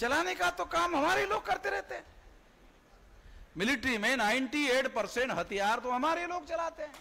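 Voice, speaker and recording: A man speaks in a raised, projected voice at an extremely high pitch. His pitch swings very widely. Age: 60s. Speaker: political activist. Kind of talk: political rally speech. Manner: animated.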